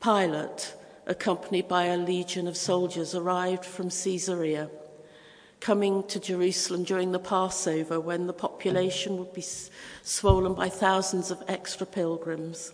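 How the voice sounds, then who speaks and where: Her intonation is monotone and flat. This woman talks at a moderate pace and medium pitch. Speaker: preacher. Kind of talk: sermon.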